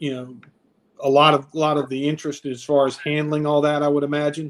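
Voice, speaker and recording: The speaker is a man whose pitch is fairly high. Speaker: stadium public address announcer. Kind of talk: casual podcast guest conversation.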